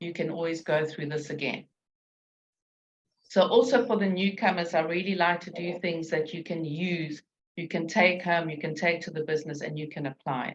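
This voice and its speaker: Somewhat breathy, a woman speaks at a moderate pace in a fairly low voice with ordinary pitch variation. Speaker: business coach. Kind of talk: webinar presentation. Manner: step-by-step instructive.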